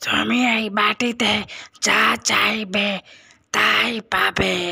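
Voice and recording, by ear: This is a cartoonish character voice. It sounds raspy. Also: female-sounding voice, medium pitch for a woman.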